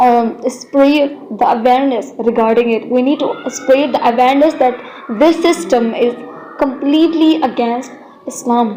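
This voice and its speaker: Over noticeable background noise, a woman with a high-pitched voice speaks at a fairly slow pace with ordinary pitch variation. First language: not English. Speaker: Islamic content creator. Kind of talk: video monologue. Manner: halting.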